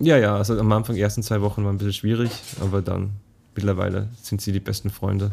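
A man talks very fast in a fairly low, dark, mellow voice. His delivery is somewhat breathy and flat, with monotone intonation. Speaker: podcast host, translator. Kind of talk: casual chat. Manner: halting.

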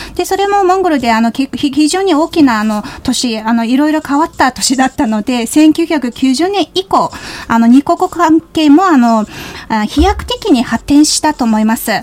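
Close and dry with no echo, a woman's high voice moves at a moderate pace with lively intonation against noticeable background noise. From Mongolia. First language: Mongolian (speaking Japanese). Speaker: radio host. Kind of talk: radio interview. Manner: hesitant, frequent fillers.

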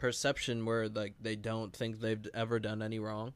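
Speaking at a moderate pace, this man has a plain, everyday voice at a medium pitch. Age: 20s. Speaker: podcast co-host. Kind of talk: casual chat.

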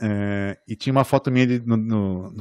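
In a quiet background, a man's voice shows ordinary pitch variation. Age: 40s. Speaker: architect and podcast host. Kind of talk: casual chat. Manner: halting.

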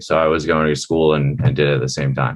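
A man speaks with an American accent. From Maryland, near Baltimore. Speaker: food company founder. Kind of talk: interview.

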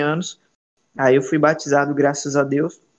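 Fairly high-pitched and monotone, a man speaks in a flat way at a fairly slow pace. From Ceará, Brazil. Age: 20s. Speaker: evangelist. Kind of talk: podcast interview.

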